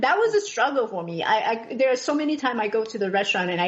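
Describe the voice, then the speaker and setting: Very fast speech in a Taiwanese accent over noticeable background noise. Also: woman. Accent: Taiwanese Mandarin-accented English. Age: 40s. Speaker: podcast guest. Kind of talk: personal testimony in interview. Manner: halting, many fillers and restarts.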